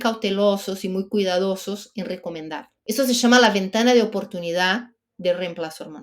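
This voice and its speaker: A woman talks with a Brazilian accent. Her pace is moderate and her pitch variation ordinary. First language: Portuguese (speaking Spanish). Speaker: menopause expert guest. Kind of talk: podcast interview.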